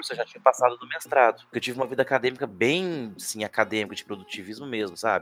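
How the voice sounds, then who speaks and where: Recorded with a dry, close sound and no echo, a man with a medium-pitched voice talks at a very fast pace. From Brazil, Minas Gerais (Uberlândia). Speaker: teacher, podcast co-host. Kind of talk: casual chat.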